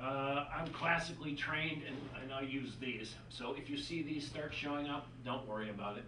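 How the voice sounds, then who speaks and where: In an American accent, a man talks at a moderate pace with ordinary pitch variation, amid audible room echo and noticeable background noise. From Minnesota, US Upper Midwest. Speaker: math instructor. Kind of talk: recorded lecture.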